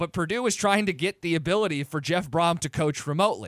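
Lively intonation from a man with an American accent, in a very clean recording with a silent background. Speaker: sports radio co-host. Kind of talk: sports radio talk. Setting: studio.

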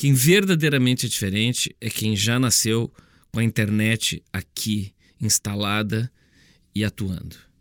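Speaking at a medium pitch in an unremarkable speaking voice, a man goes at a fairly slow pace with ordinary pitch variation, on a very clean recording with a silent background and a dry, close sound with no echo. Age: 50s. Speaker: speaker and author. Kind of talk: monologue podcast.

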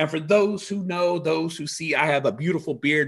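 Animated in tone, a man speaks at a fairly quick pace and a fairly high pitch. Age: 30s. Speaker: podcast host. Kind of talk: casual interview.

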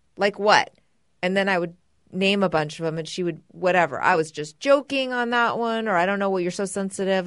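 At a fairly quick pace, a woman with an unremarkable speaking voice talks at medium pitch with ordinary pitch variation against a quiet background. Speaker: podcast co-host. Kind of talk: casual chat with husband.

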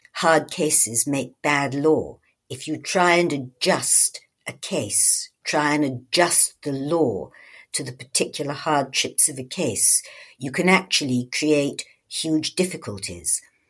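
A woman with a very deep, low pitch talks fairly slowly in a very clean recording with a silent background. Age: old. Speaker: retired judge and author. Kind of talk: interview.

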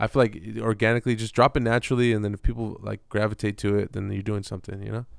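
In a very clean, dry, close recording with no echo and a silent background, a man talks very fast in a flat monotone, with hardly any pauses. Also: fairly low pitch for a man. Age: 30s. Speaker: hip-hop artist. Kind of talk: casual chat.

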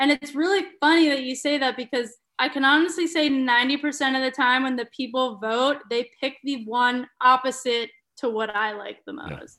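With a bright, sharp tone and a raised, projected voice, a woman speaks at a moderate pace in a high pitch with ordinary pitch variation. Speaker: travel photographer and content creator. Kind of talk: interview.

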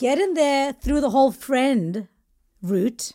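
A woman speaks in a dark, mellow tone with lively intonation. Her pace is fairly slow. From India and South Africa. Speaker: comedian guest. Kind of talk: casual chat.

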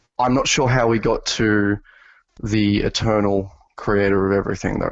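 Speaking with an Australian accent, a man keeps a fairly low pitch, a moderate pace and fairly even intonation. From Australia, New South Wales. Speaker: atheist podcast guest. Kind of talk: casual debate. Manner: halting, repeats words.

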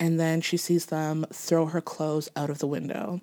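A woman with an ordinary speaking voice talks at a fairly low pitch. Her pace is moderate. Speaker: podcast host. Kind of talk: casual storytelling chat. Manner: casual, laughs often.

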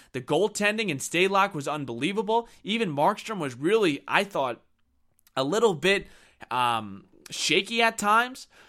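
In a very clean recording with a silent background, a man with an American accent uses a raised, projected, high-pitched voice, bright and sharp in tone and animated, with very wide pitch swings at a moderate pace. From New York. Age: 20s. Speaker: sports radio host. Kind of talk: sports talk monologue.

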